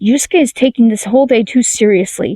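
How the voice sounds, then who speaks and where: A woman's put-on character voice, fairly high-pitched and hissing, at a fairly quick pace. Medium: read story. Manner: hissing, indignant.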